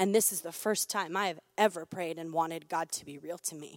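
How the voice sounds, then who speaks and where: A woman with a normal speaking voice talks at a moderate pace with ordinary pitch variation, heard in a dry, close sound with no echo on a very clean recording with a silent background. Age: 20s. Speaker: church member sharing testimony. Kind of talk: testimony.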